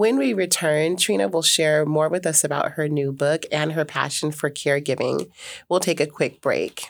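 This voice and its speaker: Recorded very cleanly against a silent background, a woman with a very deep, low pitch and vocal fry speaks at a moderate pace, keeping ordinary pitch variation and very even loudness. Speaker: radio host. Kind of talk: radio interview.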